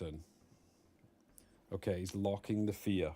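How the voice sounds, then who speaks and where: Here a man speaks with a fairly low pitch. His tone is dark and mellow. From Scotland, near Edinburgh. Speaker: streamer casting a game. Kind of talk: live commentary. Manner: animated.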